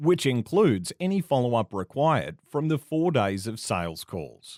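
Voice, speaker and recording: A man with an Australian accent speaks at medium pitch and a moderate pace. His pitch swings very widely, and the sound is dry and close with no echo. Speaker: voice actor. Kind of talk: non-fiction instructional reading.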